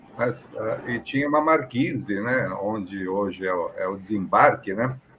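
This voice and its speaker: Noticeable background noise behind a man at medium pitch, fairly slow in pace, with ordinary pitch variation. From Brazil, São Paulo. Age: 60s. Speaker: aviation professional. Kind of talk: interview, personal story. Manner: conversational, many fillers.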